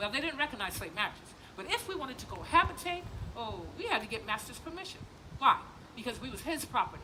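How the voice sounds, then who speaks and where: A woman speaks very fast in an American accent, her high voice swinging very widely in pitch and greatly in loudness over noticeable background noise. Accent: Gullah Geechee dialect. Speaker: plantation tour guide and cultural presenter. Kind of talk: live presentation to visitors. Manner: animated, conversational storytelling.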